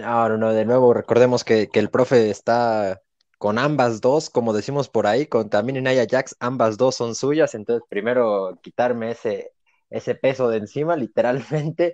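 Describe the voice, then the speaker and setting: Against a quiet background, a man speaks with a Mexican accent and fairly even intonation. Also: medium pitch for a man, moderate pace, dry, close sound with no echo. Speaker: wrestling podcast co-host. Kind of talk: casual chat.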